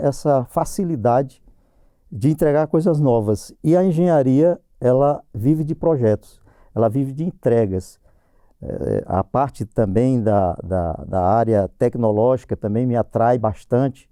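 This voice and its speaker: A man talks at a fairly slow pace in a medium pitch, his tone dark and mellow. His pitch swings very widely, and the sound is dry and close with no echo. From Brazil, Northeast, Paraíba backlands. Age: 60s. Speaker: civil servant, engineer. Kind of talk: personal testimony interview. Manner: halting, many false starts.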